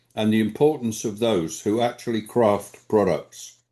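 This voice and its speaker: Against a quiet background, a man with a southern English accent speaks at a moderate pace. His medium-pitched voice has a dark, mellow tone. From England, London. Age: 80s+. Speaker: quality management consultant. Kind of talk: award acceptance speech. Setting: stage at award ceremony. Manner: formal.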